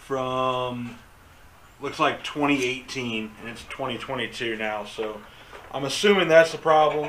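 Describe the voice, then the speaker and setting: Speaking at a very slow pace with long, frequent pauses, a man shows big swings in loudness over light background noise. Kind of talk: casual vlog chat. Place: garage. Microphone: camera far.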